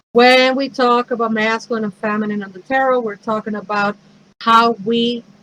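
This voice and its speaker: A woman with a Mexican accent speaks at a fairly high pitch. Her pace is moderate and her intonation monotone and flat. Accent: Mexican Spanish accent, noticeable. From Mexico City, Mexico. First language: Spanish. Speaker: pagan priestess and minister, speaker. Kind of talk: talk. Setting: virtual event.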